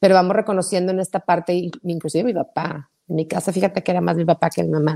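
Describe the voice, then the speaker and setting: Very fast with hardly any pauses, a woman speaks in a fairly low pitch and a dark, mellow tone, the sound dry and close with no echo. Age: 40s. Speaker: podcast host. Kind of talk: casual chat. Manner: animated.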